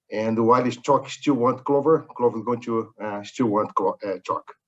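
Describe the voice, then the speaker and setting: In a Brazilian accent, a man at medium pitch speaks with fairly even intonation. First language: Portuguese. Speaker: corporate executive. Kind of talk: webinar interview. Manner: halting.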